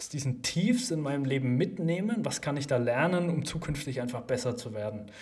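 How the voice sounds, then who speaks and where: A man's fairly high voice at a fairly quick pace, with audible room echo. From Germany, Lower Franconia. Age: 20s. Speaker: startup founder and CEO. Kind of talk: casual interview.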